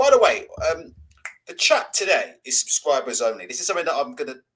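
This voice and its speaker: At a very fast pace, a man talks in a British accent. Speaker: boxing channel host. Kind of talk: live stream chat.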